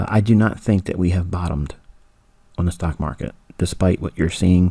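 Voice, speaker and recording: A man talks at a fairly quick pace with a very deep, low pitch and fairly even intonation. Noticeable background noise runs under his voice. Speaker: trading mentor. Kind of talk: tutorial.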